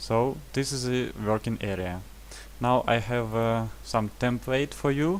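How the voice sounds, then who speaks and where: A man is speaking. He has a non-native accent. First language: not English. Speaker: trading indicator developer. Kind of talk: tutorial. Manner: halting, many fillers.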